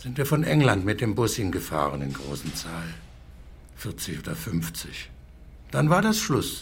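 A man with a very deep, low voice and vocal fry speaks at a very slow pace, with long, frequent pauses. His pitch swings very widely, and audible room echo surrounds him. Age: 80s+. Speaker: war veteran, care home resident. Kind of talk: confused conversation. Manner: halting.

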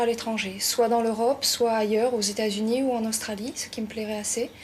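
A woman talks over noticeable background noise. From southern France. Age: 20s. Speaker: hotel school student. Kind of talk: interview.

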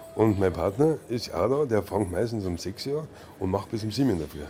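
A man is speaking. Music plays in the background. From Munich (Milbertshofen). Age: 50s. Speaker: brothel leaseholder. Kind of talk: interview.

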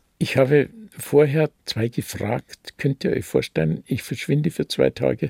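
The speech comes at a fairly slow pace with a dry, close sound and no echo. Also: man. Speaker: retired pastor and Nazi-era persecution witness. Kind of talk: testimony interview.

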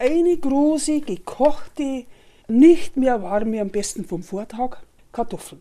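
Very slowly, a woman speaks with a high pitch, lively intonation and a dark, mellow tone. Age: 70s. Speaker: home cook. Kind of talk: recipe explanation.

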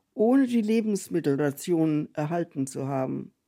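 A woman speaks at a very slow pace, her fairly low pitch carrying a dark, mellow tone and lively intonation. The recording is very clean, with a silent background. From Franconia, Fürth, later South Africa. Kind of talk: reading aloud.

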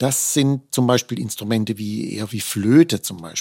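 At a fairly slow pace, a normal speaking voice shows ordinary pitch variation, recorded very cleanly with a silent background and a dry, close sound with no echo. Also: man. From Baden, southwest Germany (Offenburg). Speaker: principal oboist in an orchestra. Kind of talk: interview conversation.

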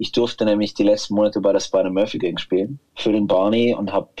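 A man's dark, mellow tone at fairly low pitch, with fairly even intonation and a moderate pace. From Munich, Schwabing. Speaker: musician, guitarist. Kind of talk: casual interview.

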